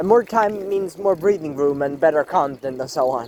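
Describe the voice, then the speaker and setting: Speaking at a moderate pace, a man with a non-native accent uses lively intonation. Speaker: carnivore diet vlogger. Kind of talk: casual monologue vlog. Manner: animated; halting.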